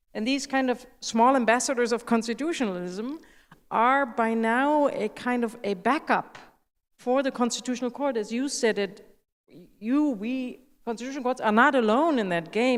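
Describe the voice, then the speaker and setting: A woman speaks fairly quickly in a fairly high voice with ordinary pitch variation. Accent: German. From Germany. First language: German. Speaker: constitutional judge. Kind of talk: conference panel discussion.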